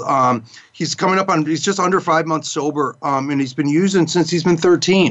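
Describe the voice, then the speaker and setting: In a plain, everyday voice, a man with an American accent speaks at a moderate pace with ordinary pitch variation. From Chicago suburbs. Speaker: radio host, recovery counselor. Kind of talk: interview. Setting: studio.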